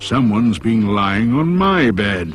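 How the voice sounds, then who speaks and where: The speaker uses a put-on character voice. The delivery comes at a fairly slow pace. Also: man. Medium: read story.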